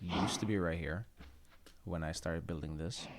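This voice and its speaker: Vocal fry marks this man's very deep, low voice. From Finland. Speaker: gaming YouTuber. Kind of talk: casual gameplay commentary. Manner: relaxed, halting with frequent fillers.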